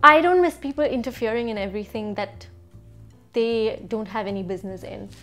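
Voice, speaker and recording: A woman with a fairly high pitch, lively intonation and big swings in loudness, with music in the background. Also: fairly quick pace. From Bangalore, India. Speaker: vlogger. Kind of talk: casual talk to camera.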